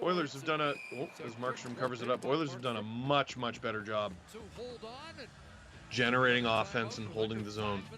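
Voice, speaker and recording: A man with an animated tone at a medium pitch, ordinary pitch variation and a fairly quick pace, long, frequent pauses, and music in the background. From Ontario, Canada (Toronto area). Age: 30s. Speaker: hockey watch-along streamer. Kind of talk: live commentary.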